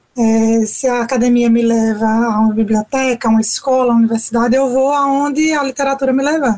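Here a woman speaks at a fairly quick pace and a fairly high pitch. Her intonation is fairly even. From Brazil, Sergipe interior (Capela). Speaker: writer. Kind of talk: radio interview. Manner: hesitant filler-heavy.

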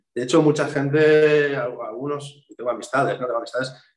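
A man with an ordinary speaking voice talks at medium pitch and a moderate pace. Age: 40s. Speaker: tattoo artist. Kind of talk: interview. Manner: casual, repetitive false starts.

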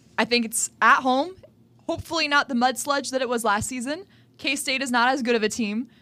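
A woman's high, raised and projected voice, bright and sharp in tone, with ordinary pitch variation and a fairly quick pace. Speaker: college radio sports host. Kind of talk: casual chat.

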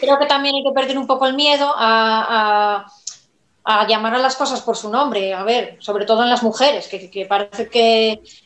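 This woman has a plain, everyday voice with fairly high pitch. She speaks at a fairly slow pace with fairly even intonation. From Asturias, Spain. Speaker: novelist. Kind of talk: live-streamed book presentation interview. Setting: video call livestream.

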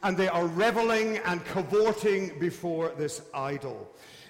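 A high-pitched man's voice at a very slow pace with lively intonation over noticeable background noise. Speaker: preacher. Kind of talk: sermon. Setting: church.

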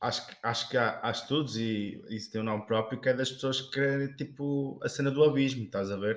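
A plain, everyday voice with ordinary pitch variation at a moderate pace. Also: man. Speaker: podcast co-host. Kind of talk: casual chat. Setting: kitchen.

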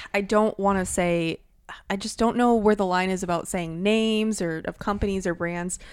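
With an American accent, a woman speaks at a medium pitch and moderate pace with ordinary pitch variation, recorded very cleanly against a silent background. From Wisconsin, US Midwest. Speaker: podcast co-host. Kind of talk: casual chat.

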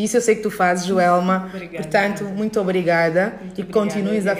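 With noticeable background noise, a woman of medium pitch speaks with fairly even intonation. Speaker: podcast host. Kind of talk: casual interview chat. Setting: guest's dance studio.

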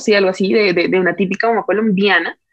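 This woman's voice sits fairly high in pitch. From Colombia. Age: 20s. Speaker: social media creator and mother. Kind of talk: casual chat. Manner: animated.

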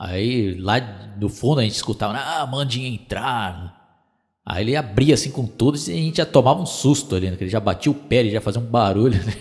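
A man's somewhat breathy, medium-pitched voice at a fairly quick pace, with lively intonation over a quiet background. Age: 30s. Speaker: podcaster. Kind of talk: casual nostalgic storytelling monologue.

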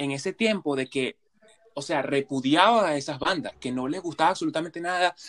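Moderate pace, ordinary pitch variation and a normal speaking voice, all in a dry, close sound without echo. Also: man. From Venezuela. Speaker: podcast co-host. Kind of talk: casual chat.

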